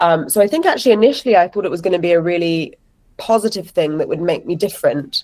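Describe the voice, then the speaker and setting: Speaking very fast with an English accent, a woman keeps a medium pitch and ordinary pitch variation. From London, England. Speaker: actress and writer. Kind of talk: interview conversation.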